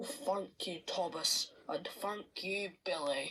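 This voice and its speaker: This put-on character voice is raspy, sits at a middle pitch, and moves at a very slow pace. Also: female-sounding voice. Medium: read story. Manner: pompous, self-important.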